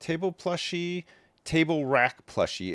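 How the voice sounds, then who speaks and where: In a dry, close sound with no echo, a man talks with an American accent. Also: very clean recording, silent background. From Canada, Ottawa area. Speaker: live streamer. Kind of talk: casual chat.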